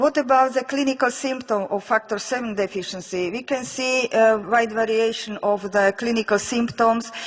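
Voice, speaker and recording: With a Slovak accent, a woman speaks at a moderate pace and fairly high pitch, using fairly even intonation and hardly any pauses, over noticeable background noise. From Slovakia. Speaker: physician researcher. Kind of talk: lecture. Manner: halting.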